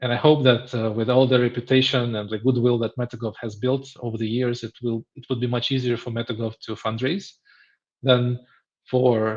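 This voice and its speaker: A man talks in a flat monotone at a medium pitch. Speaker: founder of an open-source AI tool. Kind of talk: interview. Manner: slow.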